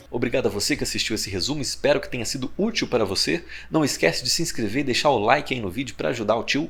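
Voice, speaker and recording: Words come at a very fast pace with hardly any pauses and lively intonation, and audible room echo surrounds them. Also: man, medium pitch for a man. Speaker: teacher. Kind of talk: lecture.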